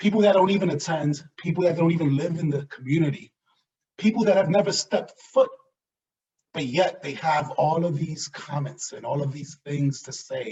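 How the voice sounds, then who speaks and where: Speaking in an animated tone with an American accent, a man uses a high pitch, ordinary pitch variation, big swings in loudness and a moderate pace. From US Northeast, New York City (South Bronx). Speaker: diversity and inclusion director. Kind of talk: talk on microaggressions. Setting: virtual event.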